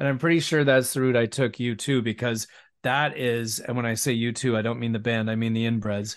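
Here is a plain, everyday voice from a man with a Canadian accent. He talks at a fairly quick pace with medium pitch and fairly even intonation. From West Vancouver, British Columbia. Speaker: musician and broadcaster. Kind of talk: casual interview chat.

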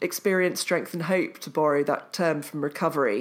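A woman with a fairly low pitch speaks with an English accent. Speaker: author and journalist. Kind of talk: casual chat.

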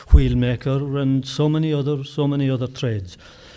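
A man with a medium pitch and a dark, mellow tone speaks somewhat breathily at a moderate pace. His intonation stays fairly even, and the recording is very clean with a silent background. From Kerry, Ireland. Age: 70s. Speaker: storyteller and folklore collector. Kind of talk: casual interview chat.

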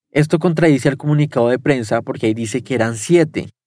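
The man talks at a very fast pace, fairly high in pitch, with ordinary pitch variation. The recording is very clean, with a silent background. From Colombia. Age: 20s. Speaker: journalist. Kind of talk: first-person narration.

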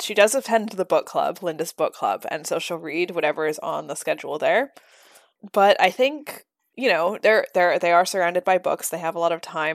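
The recording is very clean and dry, with a close sound, no echo and a silent background. A woman with a normal speaking voice talks at a moderate pace, her fairly low pitch carrying lively intonation. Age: 20s. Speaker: podcast co-host and editor. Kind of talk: casual chat.

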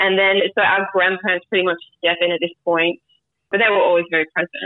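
The speaker uses fairly even intonation with an Australian accent. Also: woman. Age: 30s. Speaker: grief podcast guest. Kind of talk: casual interview, personal story.

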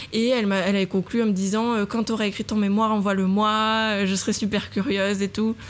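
A woman of medium pitch speaks fairly quickly with hardly any pauses, her intonation monotone and flat and her loudness very even. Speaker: design student and textile designer. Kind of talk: casual interview. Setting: hot apartment, podcast recorded at home.

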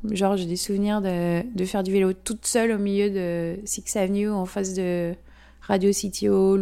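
In a very clean recording with a silent background, a woman of medium pitch speaks in a dark, mellow tone with fairly even intonation. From French-Swiss. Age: 40s. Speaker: amateur photographer. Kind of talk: interview monologue. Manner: hesitant, frequent fillers.

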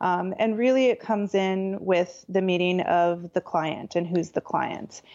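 A woman with a normal speaking voice, medium in pitch, at a fairly slow pace with hardly any pauses, ordinary pitch variation and very even loudness. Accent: American. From Southern California. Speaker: interior designer. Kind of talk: interview conversation.

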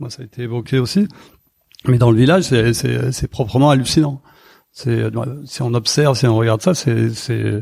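Medium-pitched male voice at a moderate pace, ordinary pitch variation and long, frequent pauses. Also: big swings in loudness. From Arles, Provence, southern France. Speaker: festival founder. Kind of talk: casual chat. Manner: halting, many repetitions.

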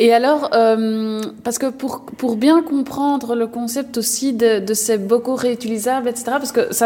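Through noticeable background noise, a woman speaks fairly slowly at a fairly high pitch. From Belgium, Brussels. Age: young. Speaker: podcast host. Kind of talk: interview.

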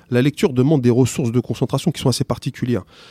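The speech moves at a very fast pace with a dark, mellow tone. The sound is dry and close with no echo, on a very clean recording with a silent background. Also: man. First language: not French (speaking French). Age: 40s. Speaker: teacher. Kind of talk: interview. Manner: halting, many repetitions.

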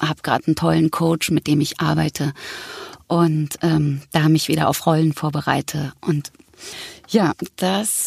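This woman has a very deep, low voice and fairly even intonation. The sound is dry and close, with no echo. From Berlin, Germany. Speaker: actress and voice actor. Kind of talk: casual interview.

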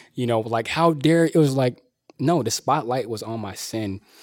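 Pitch moves in an ordinary way as this man talks at a moderate speed. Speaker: teacher. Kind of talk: casual interview. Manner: loud; animated.

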